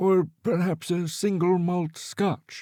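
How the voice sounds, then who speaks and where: A man's put-on character voice, high-pitched, flat and monotone, at a very slow pace. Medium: read story. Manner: aristocratic, refined.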